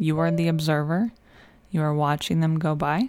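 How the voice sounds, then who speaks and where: In an unremarkable speaking voice, a woman talks at a fairly slow pace and a fairly low pitch, recorded very cleanly against a silent background. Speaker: podcast host, nurse practitioner and nutrition coach. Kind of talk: guided meditation. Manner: slow, calm, soothing, with gentle pauses.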